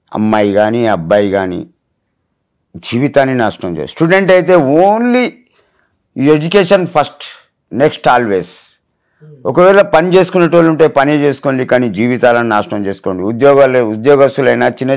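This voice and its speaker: This man's medium-pitched voice makes very wide pitch swings. The recording is very clean, with a silent background. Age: 60s. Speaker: viral meme personality. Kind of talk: interview. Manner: animated.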